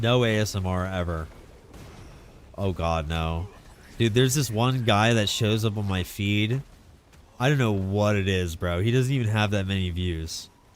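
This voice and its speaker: In a room with audible echo, a man speaks with a fairly low pitch and an animated tone. He takes long, frequent pauses. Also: ordinary pitch variation, moderate pace. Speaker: video game streamer. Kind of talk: live stream commentary. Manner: casual, animated.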